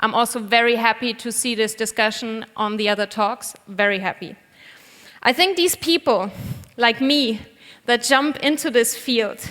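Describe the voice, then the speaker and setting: This woman's voice has a fairly high pitch and a bright, sharp tone. She speaks with a German accent. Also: ordinary pitch variation, moderate pace. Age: 30s. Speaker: vegan cook and cookbook author. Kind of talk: conference talk. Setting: stage with audience.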